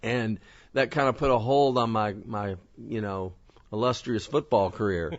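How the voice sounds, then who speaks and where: Speaking at a moderate pace with a Southern US accent, this man has a medium pitch and ordinary pitch variation. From Kentucky, US South. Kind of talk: interview. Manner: hesitant, with many fillers.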